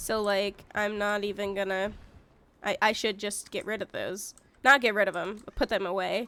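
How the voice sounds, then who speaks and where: With a bright, sharp tone and medium pitch, a woman talks at a moderate pace in a monotone, flat intonation on a very clean recording with a silent background. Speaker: gaming streamer. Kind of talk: casual live stream chat. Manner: casual, rambling.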